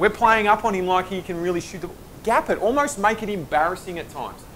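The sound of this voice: Speaking at a fast pace, a man uses a high pitch, a fairly bright tone and lively intonation.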